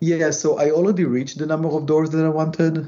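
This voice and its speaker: A man talks with an Israeli accent. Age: 30s. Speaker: real estate investor and former tech engineer. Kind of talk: casual interview.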